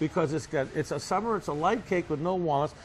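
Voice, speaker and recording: A man's high voice in a Boston accent, with lively intonation and a fairly quick pace. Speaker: bakery owner. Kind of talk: interview storytelling. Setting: on location interview. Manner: animated.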